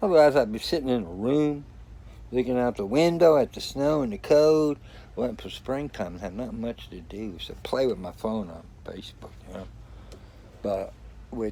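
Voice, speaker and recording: A man's dark, mellow, relaxed tone, with lively intonation and big swings in loudness. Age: 60s. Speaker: vlogger living in a converted bus. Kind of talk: casual video vlog. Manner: relaxed, rambling.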